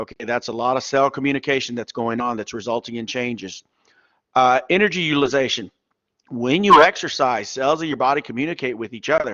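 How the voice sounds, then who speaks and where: A man with a medium-pitched voice and ordinary pitch variation talks fairly quickly. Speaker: college biology instructor. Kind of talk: lecture. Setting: classroom, recorded lecture. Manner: loud. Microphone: mic too far away.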